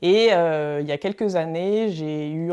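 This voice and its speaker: On a very clean recording with a silent background, a woman speaks in a fairly low, dark, mellow voice with ordinary pitch variation. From France, Loiret. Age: 40s. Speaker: regional election candidate. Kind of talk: personal campaign portrait. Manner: hesitant, many fillers.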